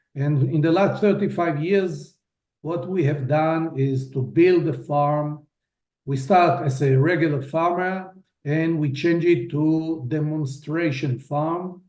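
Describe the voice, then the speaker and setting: Audible room echo surrounds a man with a fairly high pitch who speaks at a very slow pace with ordinary pitch variation. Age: 60s. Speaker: farmer. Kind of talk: video testimony.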